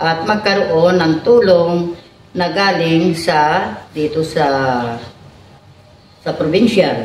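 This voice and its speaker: A woman speaks at a very slow pace in a fairly low pitch, her intonation lively. Noticeable background noise runs beneath her voice. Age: 70s. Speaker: senior citizens association president. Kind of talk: interview answer.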